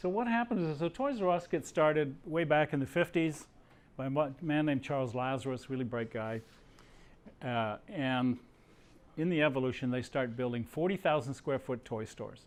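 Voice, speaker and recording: A man at a fairly high pitch with lively intonation and a moderate pace, against a quiet background. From Canada. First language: not English. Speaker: businessman. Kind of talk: talk to students. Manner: casual.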